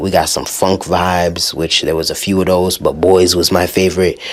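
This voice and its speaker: The speaker is a man with a very deep, low pitch at a moderate pace. Noticeable background noise is present. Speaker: music podcast host. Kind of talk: casual music review. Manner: animated.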